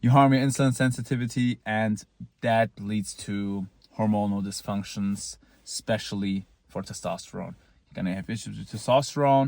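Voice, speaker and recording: A man with a non-native accent speaks at a moderate pace and a fairly low pitch, showing ordinary pitch variation and big swings in loudness. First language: not English. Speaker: looksmaxing vlogger. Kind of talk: casual monologue. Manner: halting, with repeated false starts; casual, blunt.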